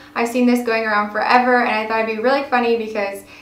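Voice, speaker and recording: Noticeable background noise sits behind a woman whose voice is fairly high in pitch. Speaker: beauty YouTuber. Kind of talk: casual talk to camera.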